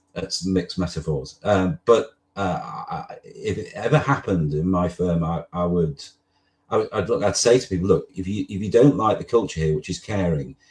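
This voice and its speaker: Against a quiet background, a man with a slight northern English accent and a very deep, low pitch speaks at a fairly quick pace, somewhat breathy, with ordinary pitch variation. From northwest England. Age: 60s. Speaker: lawyer. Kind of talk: interview. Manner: halting.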